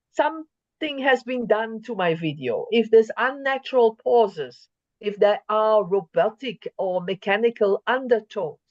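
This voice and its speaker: A woman with a normal speaking voice and a fairly high pitch talks at a moderate pace, her intonation lively and with hardly any pauses. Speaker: conference speaker. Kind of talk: lecture.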